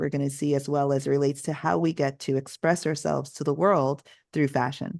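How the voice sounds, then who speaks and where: A woman with an American accent talks at a fairly quick pace in a very deep, low pitch with vocal fry against a quiet background. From Connecticut, US (Jamaican family). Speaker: author and magazine founder. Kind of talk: interview. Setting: live online fireside chat.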